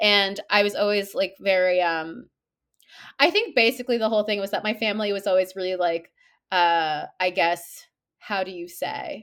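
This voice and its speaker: An ordinary speaking voice with a Canadian accent, moving at a moderate pace with ordinary pitch variation. The recording is very clean, with a silent background. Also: woman, medium pitch for a woman. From Toronto, Canada. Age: 30s. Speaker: novelist. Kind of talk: interview.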